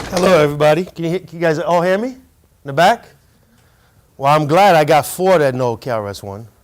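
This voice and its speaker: With a fairly high pitch and lively intonation, a man rushes along at a very fast pace broken by long, frequent pauses, his loudness moving in big swings. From France, Paris; later New York teens. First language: French. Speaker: hip hop artist and curator. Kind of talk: presentation to students. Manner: casual, engaging with audience.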